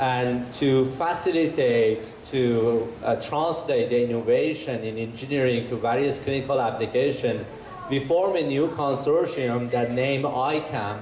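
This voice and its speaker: A man talks with hardly any pauses and ordinary pitch variation, with audible room echo and noticeable background noise. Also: medium pitch for a man, fairly slow pace. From Iran. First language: Persian. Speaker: bioengineer and researcher. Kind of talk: presentation to an audience.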